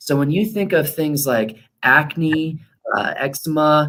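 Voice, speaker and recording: A man with a normal speaking voice and a fairly high pitch talks at a fairly slow pace. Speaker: chiropractor. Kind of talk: workshop talk. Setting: live online workshop.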